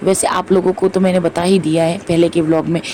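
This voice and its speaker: Over noticeable background noise, the voice keeps a moderate pace with monotone, flat intonation. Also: woman. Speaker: devotional vlogger. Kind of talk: vlog voice-over. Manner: filler-heavy, repetitive.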